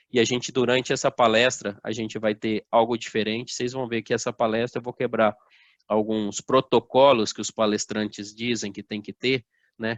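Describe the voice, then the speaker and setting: This man has a strong São Paulo interior accent and a medium-pitched voice. He speaks at a moderate pace with monotone, flat intonation. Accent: strong interior São Paulo accent, strong R. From interior of São Paulo state, Brazil (Assis). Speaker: motivational speaker. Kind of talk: motivational talk. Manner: informal, uses many fillers.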